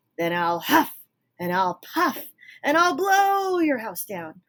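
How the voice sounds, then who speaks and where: Putting on a growling character voice, a woman speaks fairly slowly at a high pitch with very wide pitch swings. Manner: snarling, menacing.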